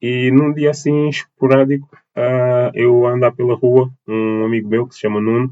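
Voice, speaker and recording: A man's voice with big swings in loudness and fairly even intonation. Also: medium pitch for a man, moderate pace. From Portugal, Lisbon and Almada (south bank). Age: 20s. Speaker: dance teacher and choreographer. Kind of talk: interview. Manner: halting, many fillers and repetitions.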